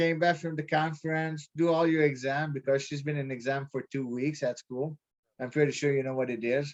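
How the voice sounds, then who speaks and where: The sound is dry and close, with no echo. A man talks at a fairly quick pace in a fairly high pitch, his intonation monotone and flat. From Quebec. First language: French. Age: 30s. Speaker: prospective real estate investor. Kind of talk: casual chat. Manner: halting.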